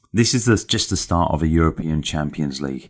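An English accent at a moderate pace on a very clean recording with a silent background. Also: man. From England. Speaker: sports podcast host. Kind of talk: solo commentary monologue.

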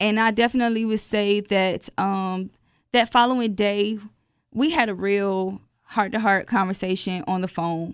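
On a very clean recording with a silent background, a woman with an American accent speaks at medium pitch and a moderate pace with fairly even intonation. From Atlanta, US South. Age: 20s. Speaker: podcast guest telling her dating story. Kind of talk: personal storytelling.

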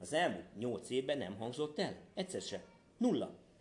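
A man's fairly high voice, somewhat breathy, with very wide pitch swings. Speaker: parent of a golfer, golf commentator. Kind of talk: interview. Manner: animated, repetitive false starts.

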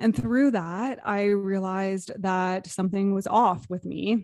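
An ordinary speaking voice with a Canadian accent and fairly even intonation, on a very clean recording with a silent background. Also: woman. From Canada, Toronto area. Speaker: intuitive business mentor and energy healer. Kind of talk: casual interview chat.

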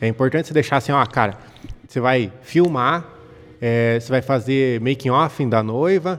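A man at medium pitch with ordinary pitch variation, music playing in the background. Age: 30s. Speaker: photographer and videographer. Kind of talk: casual chat.

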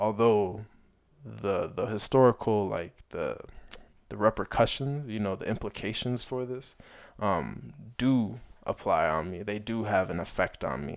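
Recorded very cleanly against a silent background, a man with an American accent speaks in an unremarkable speaking voice, fairly low in pitch and at a fairly slow pace. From Chicago area, US. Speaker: podcast host. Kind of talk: solo commentary with read-aloud essay. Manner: casual with filler words.

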